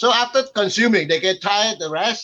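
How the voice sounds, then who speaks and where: A man with a high voice projects loudly, his pitch varying in an ordinary way. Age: 60s. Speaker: conference speaker, lecturer. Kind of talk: panel discussion. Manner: halting.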